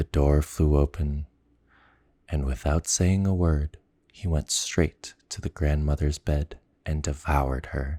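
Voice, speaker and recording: Soft-spoken and somewhat breathy, the voice has a dark, mellow tone and fairly even intonation at a very slow pace with long, frequent pauses, in a dry, close sound with no echo and a very clean recording with a silent background. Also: man. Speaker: ASMR storyteller. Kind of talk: bedtime story reading.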